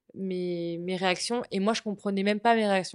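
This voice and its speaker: A woman speaks at a medium pitch and moderate pace with fairly even intonation, in a dry, close sound with no echo and a quiet background. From Brittany, France. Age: 20s. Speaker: communication student. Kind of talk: personal testimony interview. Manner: halting, many hesitations.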